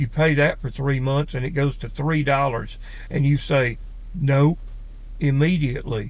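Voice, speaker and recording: A man speaks in a fairly high, somewhat breathy voice with an Alabama accent. His intonation is monotone and flat, and his pace is fairly slow. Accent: Southern US (Alabama). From US South, Alabama. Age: 50s. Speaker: personality-type video creator. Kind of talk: casual monologue.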